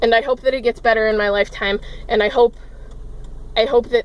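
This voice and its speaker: A woman is talking. Her pace is moderate. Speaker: vlogger. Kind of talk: emotional rant vlog. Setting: in a car, parked. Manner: loud, yelling.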